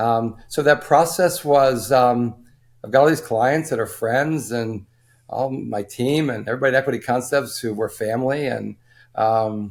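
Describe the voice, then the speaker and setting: Recorded very cleanly against a silent background, a man speaks at a moderate pace with medium pitch and ordinary pitch variation. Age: 60s. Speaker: former wealth management firm owner. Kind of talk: interview. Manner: halting, many fillers.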